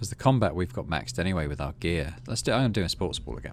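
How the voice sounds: A man talks at a fast pace with lively intonation. His pitch sits low.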